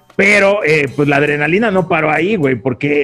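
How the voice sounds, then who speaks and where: Talking at a fairly quick pace, a man has a fairly high-pitched voice. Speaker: podcast co-host. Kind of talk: casual chat. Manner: animated.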